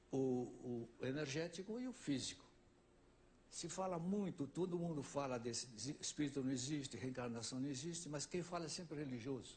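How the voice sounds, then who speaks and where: Somewhat breathy and fairly high-pitched, a man talks at a fairly quick pace with ordinary pitch variation and long, frequent pauses. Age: 70s. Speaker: ufologist and author on a talk show. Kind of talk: talk show interview.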